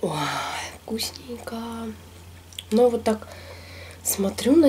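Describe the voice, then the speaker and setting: Light background noise runs under the recording. A woman speaks at a moderate pace. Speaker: food vlogger. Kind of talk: casual mukbang vlog chat. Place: home room.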